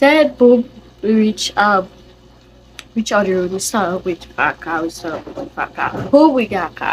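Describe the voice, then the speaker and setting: Noticeable background noise behind a woman with a Trinidadian accent, fairly high pitch and a fairly slow pace. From Trinidad and Tobago. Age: young. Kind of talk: casual storytime to camera.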